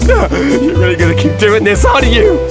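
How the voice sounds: Putting on a character voice at an extremely high pitch, a man speaks at a moderate pace with very wide pitch swings as clear music plays in the background.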